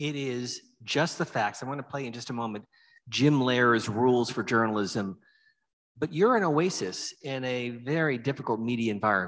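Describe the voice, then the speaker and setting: A man with an American accent has an unremarkable speaking voice, speaking at a medium pitch and moderate pace with ordinary pitch variation over a quiet background. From Erie, Pennsylvania. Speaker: moderator. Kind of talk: on-stage interview. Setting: stage with audience. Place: stage. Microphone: handheld.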